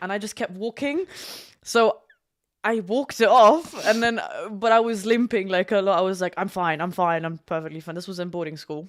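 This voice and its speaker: A woman with an English accent, medium pitch, fairly quick pace, ordinary pitch variation and big swings in loudness. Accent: English-sounding. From Germany, schooled in England. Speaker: package delivery driver and horse groomer. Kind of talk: casual chat.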